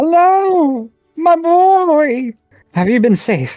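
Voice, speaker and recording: A squeaky, put-on character voice at a very slow pace, with faint music in the background. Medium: actual play. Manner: warm, welcoming.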